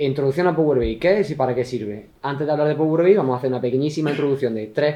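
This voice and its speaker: A man with an Andalusian accent, very fast pace, and ordinary pitch variation. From Andalusia, southern Spain. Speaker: IT consultant presenter. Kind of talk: tech talk presentation. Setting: meetup with live audience.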